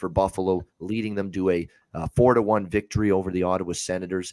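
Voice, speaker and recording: Very fast and very deep, a man's low voice holds a fairly even intonation, the sound dry and close with no echo on a very clean recording with a silent background. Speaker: sports betting podcast host. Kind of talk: sports betting show, casual analysis. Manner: fast, rapid-fire recap.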